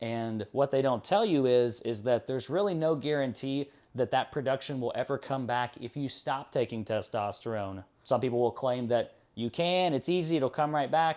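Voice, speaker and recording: A man with an unremarkable speaking voice at medium pitch, ordinary pitch variation and a moderate pace, on a very clean recording with a silent background. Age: 20s. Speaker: fitness vlogger. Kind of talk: personal vlog.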